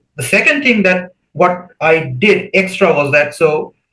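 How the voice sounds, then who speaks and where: A bright, sharp tone with ordinary pitch variation. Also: man. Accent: Bengali. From India, West Bengal. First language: Bengali. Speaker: PhD student. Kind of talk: podcast interview.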